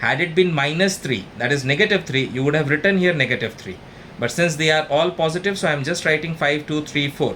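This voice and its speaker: A man's fairly high voice at a fairly quick pace, with ordinary pitch variation over noticeable background noise. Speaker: maths tutor. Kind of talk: tutorial.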